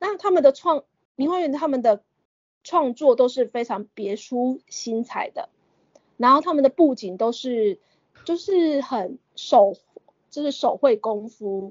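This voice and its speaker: Pausing long and often, a woman speaks at a high pitch with lively intonation. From Taiwan, Kaohsiung countryside (Renwu). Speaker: opera enthusiast and teacher. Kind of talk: interview.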